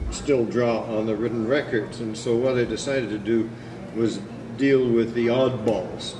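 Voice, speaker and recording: Mumbling at a moderate pace, a man speaks at medium pitch with fairly even intonation, amid audible room echo and noticeable background noise. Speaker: historian lecturer. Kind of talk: lecture. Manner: halting, many fillers.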